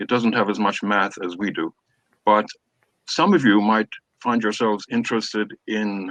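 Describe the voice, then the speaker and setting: A man with an Irish accent at a medium pitch and a fairly slow pace, in a dry, close sound with no echo and a quiet background. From Ireland. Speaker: professor. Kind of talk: orientation talk. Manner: hesitant with fillers.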